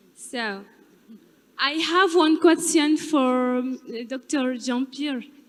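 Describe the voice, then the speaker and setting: A woman speaks in a French accent at a high pitch, very slowly. Her pitch variation is ordinary, and she takes long, frequent pauses. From Central African Republic. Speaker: audience member asking question. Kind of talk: audience question.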